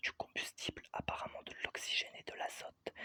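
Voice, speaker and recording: A man whispering at a moderate pace, the sound dry and close with no echo. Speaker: ASMR creator. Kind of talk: whispered audiobook reading. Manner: whispered.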